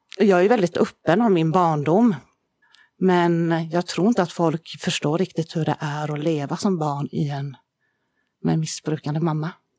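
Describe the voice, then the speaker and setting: The voice is dark and mellow, with ordinary pitch variation at a moderate pace. The sound is dry and close with no echo, over a quiet background. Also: woman, fairly low pitch for a woman. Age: 40s. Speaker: founder of a charity. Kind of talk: personal testimony. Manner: halting, many fillers.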